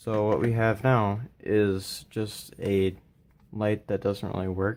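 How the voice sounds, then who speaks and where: Mumbling at a very slow pace, a man with a fairly low pitch keeps his intonation fairly even on a very clean recording with a silent background. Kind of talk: casual teardown tutorial talk. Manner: mumbly.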